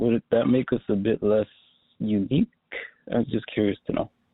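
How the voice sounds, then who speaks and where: Here a man talks with a fairly low pitch. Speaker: caller. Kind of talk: phone-in question. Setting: phone call.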